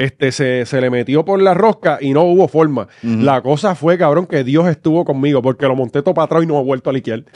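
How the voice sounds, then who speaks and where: With a Puerto Rican accent, a man speaks very fast with ordinary pitch variation. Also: hardly any pauses, quiet background, dry sound with no echo. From Puerto Rico, Corozal; Puerto Rico. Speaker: comedy podcast co-host. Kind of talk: casual chat. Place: studio. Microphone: studio mic.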